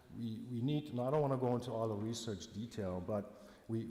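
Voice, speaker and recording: With audible room echo, a man speaks fairly quickly at medium pitch, using ordinary pitch variation. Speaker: government polar bear biologist. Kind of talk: conference presentation. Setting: conference with translator. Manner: fast; loud.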